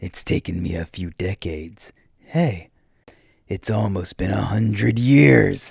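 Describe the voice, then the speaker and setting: Putting on a character voice, a man sounds raspy at a very deep, low pitch. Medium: read story. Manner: mocking, casual menace.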